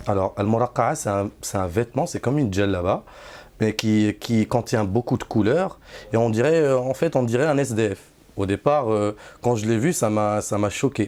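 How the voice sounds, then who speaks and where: A medium-pitched man with a Moroccan accent, ordinary pitch variation and a moderate pace, on a very clean recording with a silent background. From Morocco. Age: 30s. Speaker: Sufi disciple. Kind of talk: testimony. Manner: halting, many hesitations and repeats.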